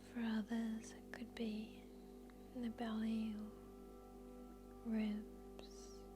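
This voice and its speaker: With music in the background, a woman speaks at a very slow pace, her loudness swinging widely. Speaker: yoga nidra guide. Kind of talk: guided yoga nidra meditation. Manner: soft-spoken, slow, calm.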